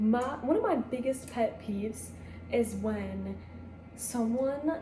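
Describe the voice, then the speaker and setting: A soft-spoken woman is heard amid noticeable background noise and audible room echo. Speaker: vlogger. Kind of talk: casual chat. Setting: home kitchen. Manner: casual.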